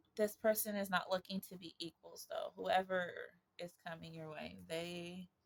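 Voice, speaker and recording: The speech moves at a moderate pace, with big swings in loudness. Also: woman. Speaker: tarot reader. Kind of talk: tarot reading monologue. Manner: casual, stumbling over words.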